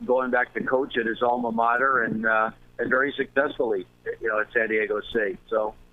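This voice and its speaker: His pitch is medium. The man keeps to a moderate pace. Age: 60s. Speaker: baseball manager. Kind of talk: casual chat. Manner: halting.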